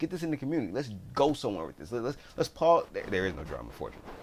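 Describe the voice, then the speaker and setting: Mumbling at a very fast pace, a man speaks with lively intonation. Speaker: gaming YouTuber. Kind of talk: casual video commentary. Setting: home recording at PC. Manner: halting, repetitive restarts.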